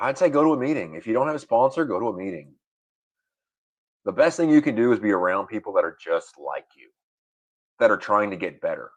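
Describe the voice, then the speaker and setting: A man with a Southern US accent talks at a very fast pace in a medium pitch, his voice showing vocal fry, very wide pitch swings and big swings in loudness, broken by long, frequent pauses. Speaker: recovering alcoholic, military veteran. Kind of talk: interview testimony.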